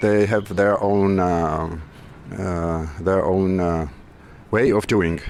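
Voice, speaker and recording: A man speaks with a very deep, low pitch. His pace is very slow and his intonation fairly even. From Georgia. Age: 50s. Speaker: musician and aspiring winemaker. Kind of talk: interview. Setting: wine festival. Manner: halting.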